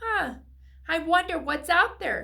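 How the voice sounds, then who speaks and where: Pitched extremely high, a woman's put-on character voice comes out squeaky. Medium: read story. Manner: gentle, friendly.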